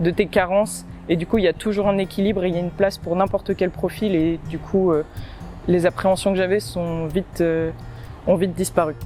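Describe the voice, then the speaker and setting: A woman with fairly low pitch, fairly even intonation and a fairly quick pace. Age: 20s. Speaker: agricultural engineering apprentice student. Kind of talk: testimonial interview. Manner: hesitant, many fillers.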